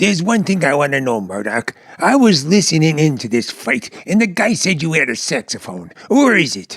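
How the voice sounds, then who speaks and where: Putting on a character voice, a man speaks at a fairly high pitch with very wide pitch swings and hardly any pauses. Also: moderate pace. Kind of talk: 1940s radio comedy acting. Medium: audio drama. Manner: excitable, stammering, nervous.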